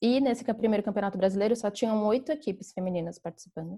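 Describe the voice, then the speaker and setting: On a very clean recording with a silent background, a woman speaks with a dark, mellow tone that is somewhat breathy. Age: 20s. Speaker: flag football player. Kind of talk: podcast interview.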